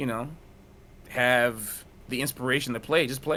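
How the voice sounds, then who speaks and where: A man's bright, sharp voice with ordinary pitch variation. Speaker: jazz saxophonist. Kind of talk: casual interview. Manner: casual, filler-heavy.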